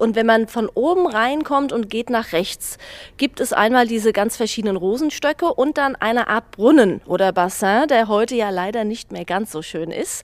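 Speaking at a moderate pace in an unremarkable speaking voice, a woman uses lively intonation at a fairly high pitch. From Mainz old town. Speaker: dance school owner. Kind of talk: interview reminiscence.

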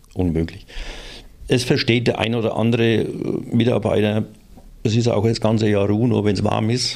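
A man at a moderate pace, with very even loudness, fairly even intonation and long, frequent pauses. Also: medium pitch for a man. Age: 60s. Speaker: works council representative. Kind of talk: casual chat.

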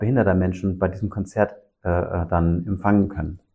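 Somewhat breathy, a man talks at a moderate pace. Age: 50s. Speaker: social worker and didgeridoo musician. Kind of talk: interview conversation. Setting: music room. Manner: hesitant with fillers.

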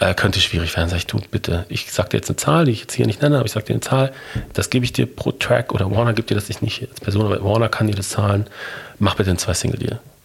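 A man at a very fast pace, fairly low pitch, and ordinary pitch variation, over noticeable background noise. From Germany, Ruhr area (Bochum). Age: 40s. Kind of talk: interview.

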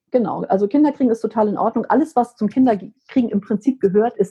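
A woman's somewhat breathy voice at a fairly quick pace, with ordinary pitch variation. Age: 50s. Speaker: menopause coach and psychotherapy practitioner. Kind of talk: casual chat.

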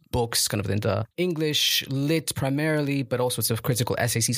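In a very clean recording with a silent background, a man speaks at a moderate pace in a somewhat breathy voice. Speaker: researcher. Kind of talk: casual chat.

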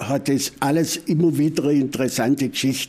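With an Upper Swabian accent, a man speaks in a dark, mellow tone. His pitch is fairly high and his intonation fairly even. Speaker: folk culture expert. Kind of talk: interview. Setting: museum.

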